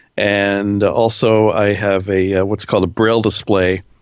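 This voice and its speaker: Fairly low male voice with an American accent at a fairly slow pace. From Pennsylvania. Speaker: radio personality and voice-over artist. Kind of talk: interview answer.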